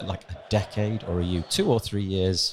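A plain, everyday voice with ordinary pitch variation, at a moderate pace. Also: man. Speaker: podcast host. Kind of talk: interview chat. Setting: conference corridor.

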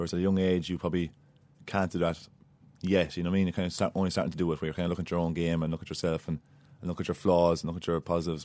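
Very fast speech in a dark, mellow tone with an Irish midlands accent, on a very clean recording with a silent background. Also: man. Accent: Irish (Laois). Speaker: Gaelic footballer, former Aussie Rules player. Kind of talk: interview.

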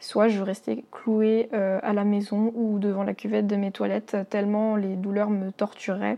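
With a dark, mellow tone, a woman speaks at a medium pitch and a fairly slow pace. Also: very even loudness. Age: 20s. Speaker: listener sharing health story. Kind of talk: testimony. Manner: halting.

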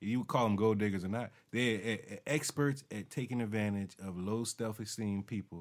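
A man with an unremarkable speaking voice talks at a moderate pace in a fairly low pitch, with ordinary pitch variation and hardly any pauses, on a very clean recording with a silent background. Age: 40s. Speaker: podcast co-host and studio owner. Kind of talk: casual chat.

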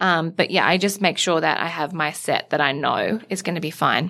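Here a woman talks with an Australian accent at a moderate pace. Her pitch variation is ordinary, and the recording is very clean with a silent background. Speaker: beauty editor, podcast co-host. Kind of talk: casual chat. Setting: studio.

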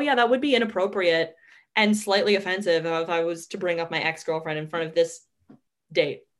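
A normal speaking voice from a woman, medium in pitch with ordinary pitch variation, at a fairly quick pace. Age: 20s. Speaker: podcast host and comedian. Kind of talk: casual chat. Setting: home recording in bedroom.

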